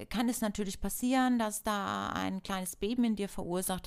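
A woman's animated voice at medium pitch, with ordinary pitch variation, in a very clean recording with a silent background. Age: 40s. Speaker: self-help podcast host. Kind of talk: solo self-help talk.

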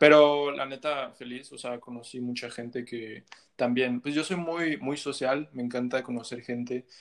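A man talks in an ordinary speaking voice with fairly even intonation. He keeps a fairly slow pace. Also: medium pitch for a man. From Mexico. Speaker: musician. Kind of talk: casual chat.

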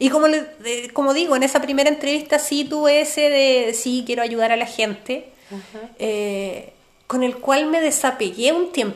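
At a moderate pace and with hardly any pauses, a woman talks at a high pitch with ordinary pitch variation. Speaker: podcast co-host, therapist. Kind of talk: casual chat.

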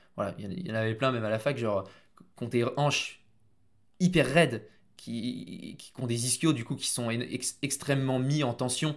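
Recorded very cleanly over a silent background, a man speaks at medium pitch with ordinary pitch variation. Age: 20s. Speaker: strength and conditioning coach. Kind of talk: casual chat.

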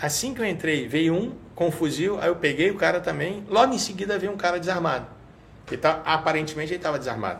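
Speaking fairly quickly with a Rio de Janeiro accent, a man uses a high voice and ordinary pitch variation. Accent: carioca. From Rio de Janeiro, Tijuca. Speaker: state security secretary and law professor. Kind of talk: casual interview.

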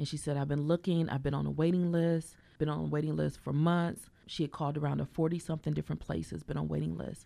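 A woman at a very fast pace with hardly any pauses, over a quiet background. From US Midwest (South Bend, Indiana), born in Mississippi. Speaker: therapist and social worker. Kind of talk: interview. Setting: studio. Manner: warm and encouraging.

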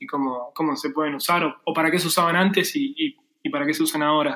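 A man at a fairly high pitch and a moderate pace. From Argentina. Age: 30s. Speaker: freelance 3D graphic designer. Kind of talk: casual interview chat. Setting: remote call.

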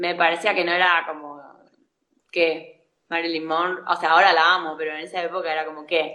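A woman with an Argentine accent at a moderate pace, flat and monotone, with long, frequent pauses. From Argentina, La Pampa. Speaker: actress and acting teacher. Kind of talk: casual interview.

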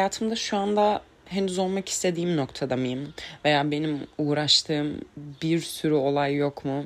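A woman with a very deep, low pitch speaks at a fairly slow pace with ordinary pitch variation. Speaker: podcast host. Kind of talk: solo monologue. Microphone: crackling from the microphone.

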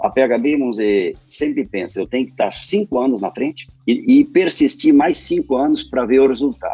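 A man talking at a fairly quick pace over music in the background. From southern Brazil, Rio Grande do Sul (Lajeado). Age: 60s. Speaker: company co-founder and engineer. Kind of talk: interview.

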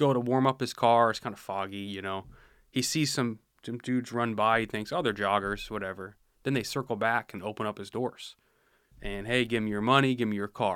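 A man's normal speaking voice with an American accent, medium pitch, fairly even intonation and a fairly quick pace, on a very clean recording with a silent background. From rural Washington State, US. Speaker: police officer. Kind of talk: casual interview. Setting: studio.

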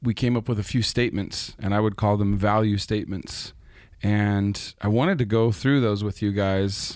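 On a very clean recording with a silent background, a man with a fairly low pitch and an unremarkable speaking voice talks at a moderate pace with fairly even intonation and very even loudness. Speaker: podcast host and church leader. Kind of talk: casual discussion.

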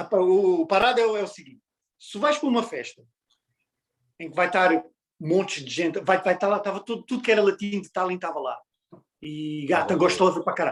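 A man with a European Portuguese accent talks at a very fast pace in a high pitch, with ordinary pitch variation. His loudness swings widely, and long pauses come often. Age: 30s. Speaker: podcast guest. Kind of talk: casual chat.

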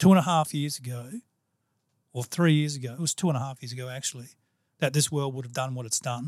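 A man speaks with ordinary pitch variation. The recording is very clean with a silent background, and the sound is dry and close with no echo. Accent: Australian. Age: 50s. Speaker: podcast host. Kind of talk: casual interview chat. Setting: studio.

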